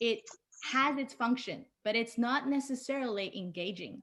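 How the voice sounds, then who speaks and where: A woman with a Chinese accent, high-pitched, with lively intonation. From China (Shanghai). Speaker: designer and illustrator. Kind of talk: conference talk.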